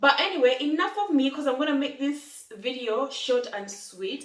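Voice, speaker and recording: The recording has audible room echo. Noticeable background noise is present too. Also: woman. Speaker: lifestyle vlogger. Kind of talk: casual vlog talk. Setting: in her new home. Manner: fast.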